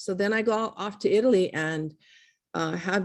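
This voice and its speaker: A woman speaks with a Hawaiian accent at a moderate pace, her intonation fairly even, on a very clean recording with a silent background. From Hawaii, Kailua. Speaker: artist. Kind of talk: interview.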